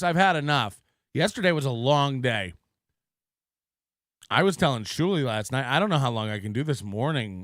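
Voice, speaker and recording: Using a raspy, put-on character voice at a medium pitch, a man talks at a moderate pace with long, frequent pauses. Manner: exasperated.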